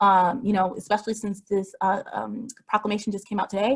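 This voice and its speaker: A woman speaks at a fairly quick pace in a fairly high, somewhat breathy voice. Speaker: health advocacy speaker. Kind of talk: webinar presentation. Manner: fast.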